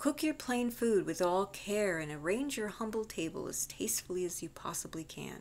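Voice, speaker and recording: Using a plain, everyday voice, a woman speaks at a moderate pace with lively intonation. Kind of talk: audiobook reading. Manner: calm, measured.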